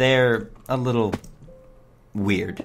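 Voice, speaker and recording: Music plays in the background as a man speaks at a very slow pace. His pitch is medium, with ordinary variation. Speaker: gaming video creator. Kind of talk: let's play commentary. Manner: casual, hesitant with many fillers.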